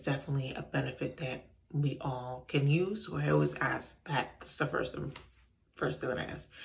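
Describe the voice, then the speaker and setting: A woman whispers at a fairly quick pace. The room echo is audible. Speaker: home decor vlogger. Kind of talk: casual vlog. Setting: bathroom. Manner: whispering.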